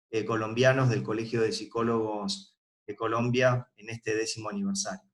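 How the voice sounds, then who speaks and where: A man with an Argentine accent, medium in pitch, at a moderate pace. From Argentina. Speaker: forensic psychology expert. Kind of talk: recorded lecture. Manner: hesitant with filler words.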